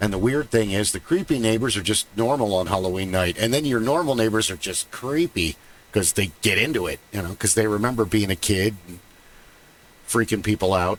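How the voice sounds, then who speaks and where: Using a fairly low pitch, a man talks at a fairly quick pace with ordinary pitch variation. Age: 50s. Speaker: podcast host. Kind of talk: casual chat. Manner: animated.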